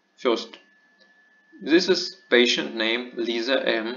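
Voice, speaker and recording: A man at medium pitch is heard with audible room echo. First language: not English. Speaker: medical lecturer. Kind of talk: lecture. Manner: halting.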